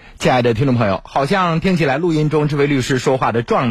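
A man talks at a fairly quick pace in a medium-pitched, somewhat breathy voice. His pitch swings very widely. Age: 40s. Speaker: radio host. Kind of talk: radio interview; radio announcements. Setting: studio.

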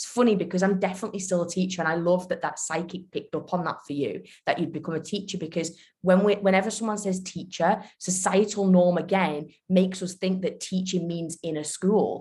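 At a fairly quick pace, a woman with a medium pitch speaks in a dark, mellow tone that is somewhat breathy, her intonation fairly even. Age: 20s. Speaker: podcast host. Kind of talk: casual chat.

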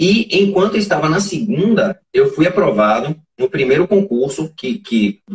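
A man with a high pitch swings very widely up and down. The sound is dry and close, with no echo. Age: 40s. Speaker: forensic expert. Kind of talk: interview. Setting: live stream.

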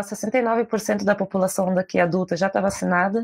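Against a quiet background, a woman with an ordinary speaking voice talks at a moderate pace in a medium pitch with fairly even intonation. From southern Brazil, Porto Alegre. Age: 20s. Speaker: writer and poet. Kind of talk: casual chat.

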